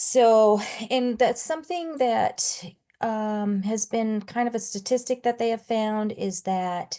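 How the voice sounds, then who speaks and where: Against a quiet background, a woman with an ordinary speaking voice talks at a fairly slow pace, fairly high in pitch and with ordinary pitch variation. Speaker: domestic violence task force presenter. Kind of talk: community presentation. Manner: conversational with many fillers.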